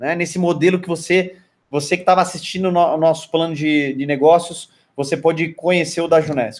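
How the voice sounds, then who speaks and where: This man speaks at a moderate pace. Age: 40s. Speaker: network marketing trainer. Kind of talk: online training lecture. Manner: hesitant, many fillers and repetitions.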